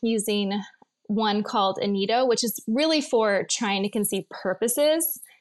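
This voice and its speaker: A woman's plain, everyday voice, fairly high in pitch, at a fairly slow pace. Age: 40s. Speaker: nutritional therapist. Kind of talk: interview.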